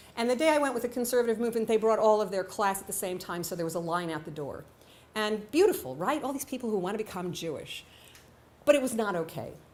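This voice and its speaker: Speaking at a very fast pace with an American accent, a woman uses lively intonation, a fairly high pitch and big swings in loudness, with audible room echo. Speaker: writer and storyteller. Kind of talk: storytelling on stage.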